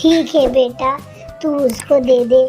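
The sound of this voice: A female-sounding cartoonish character voice, high in pitch, comes through with clear music in the background.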